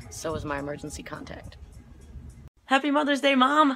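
With music in the background, a woman speaks at a fairly quick pace, her pitch swinging very widely. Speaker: comedy short-video creator. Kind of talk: comedic sketch, selfie monologue.

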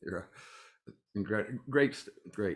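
The speaker is a man. He has a Canadian accent. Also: quiet background. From Canada. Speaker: panel moderator and union official. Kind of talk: panel discussion. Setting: video call. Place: home room. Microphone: video call.

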